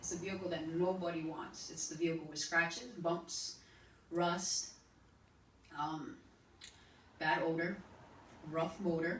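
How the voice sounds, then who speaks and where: Fairly low pitch from a woman, fairly even intonation, fairly slow pace with long, frequent pauses, and noticeable background noise. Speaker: spoken word poet. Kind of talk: spoken word poetry performance.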